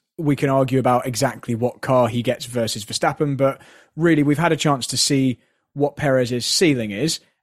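A man with a normal speaking voice talks at a moderate pace, medium in pitch and fairly even in intonation. The recording is very clean, with a silent background. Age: 30s. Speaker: racing driver and driving coach. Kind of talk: casual chat.

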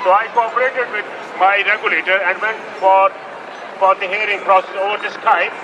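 A man speaks at a fairly quick pace with a high pitch. His intonation is monotone and flat, over noticeable background noise. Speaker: surgeon speaking at the rally. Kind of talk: rally speech. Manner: halting, non-native English.

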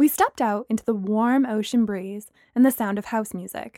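The voice reads aloud naturally.

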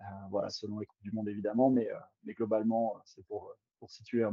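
The speaker is a man. His pace is fairly quick. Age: 30s. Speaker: cross-country skier. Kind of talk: interview. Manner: hesitant, many fillers.

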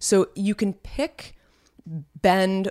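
A woman with a fairly low pitch speaks in a dry, close sound with no echo. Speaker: podcast co-host. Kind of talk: casual chat. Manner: vocal fry.

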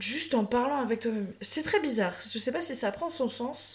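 Her fairly high pitch and animated tone carry ordinary pitch variation as this woman speaks at a moderate pace. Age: 20s. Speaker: podcast host. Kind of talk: casual solo monologue. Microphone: new microphone.

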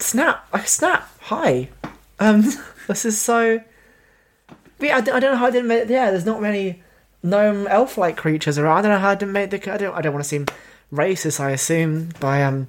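The speaker has a Cornish accent and a moderate pace. Long, frequent pauses break up the speech. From Cornwall, England. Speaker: guest host. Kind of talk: casual chat.

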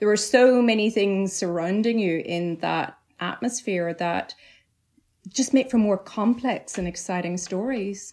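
Woman with a Northern Irish accent at medium pitch, ordinary pitch variation and a fairly slow pace. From Northern Ireland, County Tyrone. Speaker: novelist. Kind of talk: interview. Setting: remote call.

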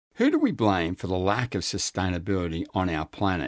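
The recording is very clean against a silent background. A man with an Australian accent speaks at a moderate pace. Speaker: podcast host. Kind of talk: interview.

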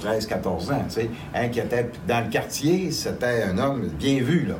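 Amid noticeable background noise and audible room echo, a man at medium pitch talks with lively intonation. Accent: Quebec. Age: 60s. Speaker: angel investor. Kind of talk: interview.

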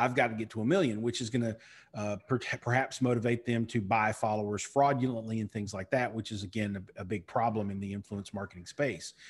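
Speaking at a very fast pace, a man keeps a medium pitch and fairly even intonation. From Eastern Kentucky. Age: 40s. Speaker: marketing consultant and keynote speaker. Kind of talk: interview.

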